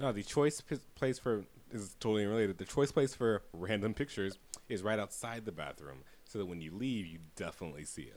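This man has a normal speaking voice with a fairly low pitch, talking at a fairly quick pace. His intonation is lively, and his loudness swings widely. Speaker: podcast host. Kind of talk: casual chat.

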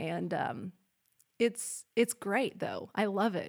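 A very slow pace with an American accent, on a very clean recording with a silent background. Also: woman. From Oklahoma (El Reno). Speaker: news reporter and anchor, hunter. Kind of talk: casual interview chat.

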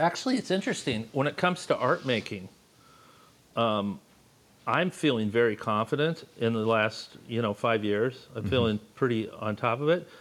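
A plain, everyday voice, a man of medium pitch with an American accent, lively intonation and a moderate pace. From Los Angeles. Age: 60s. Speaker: artist and teacher. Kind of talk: casual chat.

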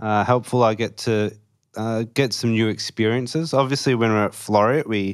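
A fairly low-pitched man with an Australian accent and fairly even intonation, in a very clean recording with a silent background. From Western Australia, Perth. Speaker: Salvation Army officer trainee. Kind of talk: casual interview.

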